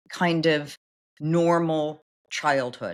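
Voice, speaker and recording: A woman speaks at a very slow pace with an American accent. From US West Coast, Los Angeles. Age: 60s. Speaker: recruiting firm founder. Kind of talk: interview.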